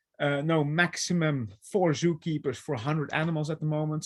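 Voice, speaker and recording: Close and dry with no echo, a man's fairly high voice moves at a fairly quick pace. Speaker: animal trainer and behavior consultant. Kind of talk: webinar presentation.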